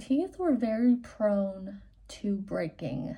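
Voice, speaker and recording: A woman speaks in a somewhat breathy voice whose tone is dark and mellow. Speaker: vlogger. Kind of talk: casual chat.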